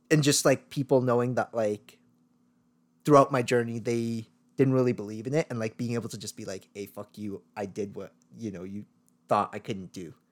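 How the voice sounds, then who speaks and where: Here is a man with an ordinary speaking voice, a medium pitch, and a Canadian accent, speaking at a moderate pace with ordinary pitch variation. His loudness swings widely, and the recording is very clean, with a silent background. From Sri Lanka, raised in Vancouver, Canada from age eight. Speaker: podcast co-host. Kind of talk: casual chat.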